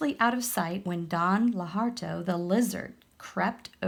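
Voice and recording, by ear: Reading aloud in a natural voice, with pitch moving the usual amount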